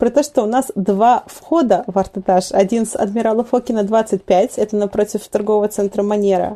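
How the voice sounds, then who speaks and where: With a normal speaking voice, a woman talks at a fairly high pitch with fairly even intonation and hardly any pauses. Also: moderate pace. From Vladivostok, Russian Far East. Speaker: art center director, curator. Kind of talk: casual interview.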